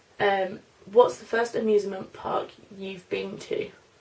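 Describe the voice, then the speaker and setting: Noticeable background noise fills the recording. Over it, a woman talks. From London, then Norfolk. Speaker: beauty vlogger. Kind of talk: casual Q&A tag video. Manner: chatty, hesitant with fillers.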